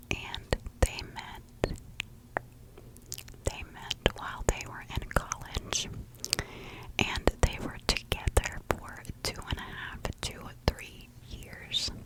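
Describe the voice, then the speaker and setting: Whispering at a very slow pace with long, frequent pauses, a woman's voice swings widely in loudness over noticeable background noise. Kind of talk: whispered ASMR true crime narration. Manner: slow, whispered.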